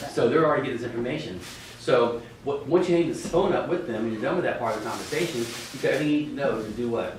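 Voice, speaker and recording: With audible room echo and noticeable background noise, a man with a fairly high voice talks at a very fast pace with ordinary pitch variation. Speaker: real estate trainer. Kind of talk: class lecture. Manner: animated.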